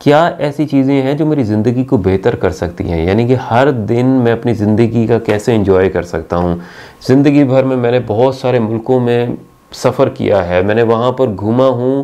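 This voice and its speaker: This is an ordinary speaking voice. It has ordinary pitch variation. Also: man, medium pitch for a man. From Pakistan. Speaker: university teacher. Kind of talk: channel introduction talk to camera. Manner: friendly, conversational.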